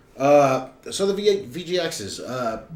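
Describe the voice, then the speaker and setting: A man with a high voice speaks very slowly, his pitch swinging very widely, with audible room echo around him. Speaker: podcast host. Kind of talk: casual chat.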